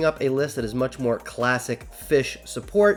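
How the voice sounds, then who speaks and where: Over music in the background, a man talks with very wide pitch swings. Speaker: card game YouTuber. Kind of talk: deck profile tutorial. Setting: home recording late at night. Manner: kept quieter than usual; animated.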